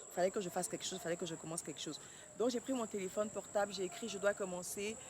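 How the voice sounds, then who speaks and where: The woman's voice is medium in pitch. She speaks at a very fast pace. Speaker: vlogger and clothing brand founder. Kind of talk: casual vlog talk to camera.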